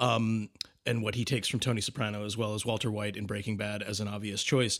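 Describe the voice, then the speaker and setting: On a very clean recording with a silent background, a man speaks at a fairly quick pace. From Boston. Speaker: film director, podcast co-host. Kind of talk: casual chat.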